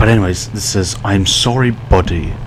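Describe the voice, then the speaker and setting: A soft-spoken man with a fairly low pitch at a fairly slow pace, amid audible room echo and noticeable background noise. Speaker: gaming YouTuber. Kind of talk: let's play commentary. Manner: quiet, soft-spoken.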